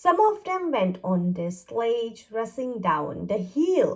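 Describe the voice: A woman's medium-pitched voice at a slow pace, full of big pitch swings.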